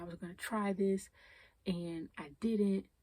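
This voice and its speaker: A woman with a dark, mellow tone, somewhat breathy, at a fairly slow pace with fairly even intonation. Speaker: podcast host. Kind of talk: unscripted personal podcast talk. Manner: emotional; casual, conversational.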